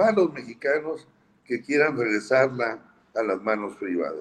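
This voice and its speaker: The delivery is fairly slow. The intonation is lively. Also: man. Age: 60s. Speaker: politician. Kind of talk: interview.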